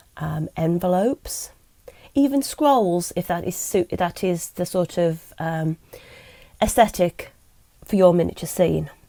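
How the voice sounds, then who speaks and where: A woman with an English accent speaks at a fairly low pitch, her tone dark and mellow. Her intonation is lively, broken by long, frequent pauses. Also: fairly slow pace, dry, close sound with no echo. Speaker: miniature crafting YouTuber. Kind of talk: tutorial. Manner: hesitant, many ums.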